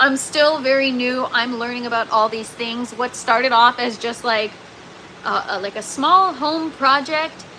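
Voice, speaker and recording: Against noticeable background noise, a woman with a high pitch speaks at a fairly slow pace with ordinary pitch variation. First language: French. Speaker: gardening livestreamer. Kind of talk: casual livestream chat reading comments. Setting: livestream in indoor grow tent. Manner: casual, many filler words; sometimes garbled speech.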